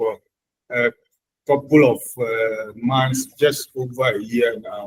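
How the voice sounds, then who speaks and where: Somewhat breathy, a man talks at a very slow pace. His pitch is medium, with ordinary pitch variation. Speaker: small business owner, tire shop. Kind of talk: formal self-introduction. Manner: formal.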